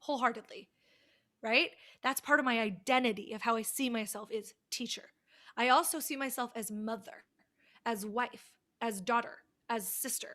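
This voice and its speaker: On a very clean recording with a silent background, a loud voice with an American accent speaks at a moderate pace, animated in tone, bright and sharp, with ordinary pitch variation. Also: woman. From United States. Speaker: college communication teacher. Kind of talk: lecture.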